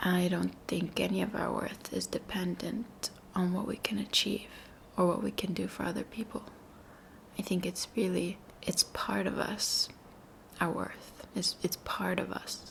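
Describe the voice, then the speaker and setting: Whispering at a fairly slow pace, a woman speaks. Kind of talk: soft spoken ASMR ramble to camera. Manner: soft-spoken, reflective.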